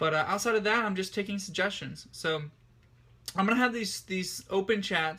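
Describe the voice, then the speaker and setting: A man speaks in a raised, projected voice with a bright, sharp tone, very fast pace and fairly even intonation, on a very clean recording with a silent background. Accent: American. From Ohio, US Midwest. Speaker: livestreamer and ESL tutor. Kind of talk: casual live-stream monologue. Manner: halting, with fillers and repeats.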